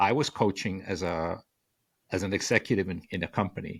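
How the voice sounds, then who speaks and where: On a very clean recording with a silent background, a man's voice comes through. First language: Spanish. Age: 60s. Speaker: author and communication coach. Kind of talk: podcast interview. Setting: podcast. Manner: halting, many repeated words.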